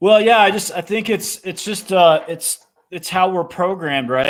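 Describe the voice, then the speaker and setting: On a very clean recording with a silent background, a man's voice is heard. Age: 50s. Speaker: author and entrepreneur. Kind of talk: interview. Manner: halting, many restarts.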